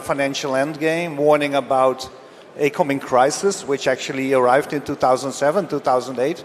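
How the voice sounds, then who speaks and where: Noticeable background noise surrounds a man's voice. His pitch is fairly high, with ordinary pitch variation. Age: 60s. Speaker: precious metals expert. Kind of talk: panel discussion. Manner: halting.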